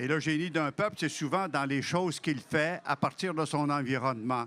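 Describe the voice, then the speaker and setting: The man's voice sits fairly high, with a bright, sharp tone. He keeps a moderate pace and ordinary pitch variation. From Quebec, Algonquin family, Abitibi region. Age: 70s. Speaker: author. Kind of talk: interview.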